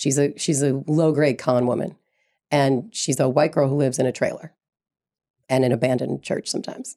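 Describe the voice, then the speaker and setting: In an American accent, a woman speaks at a fairly quick pace with a very deep, low pitch, a dark, mellow tone and fairly even intonation. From Brooklyn, New York. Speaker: TV writer. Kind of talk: panel discussion.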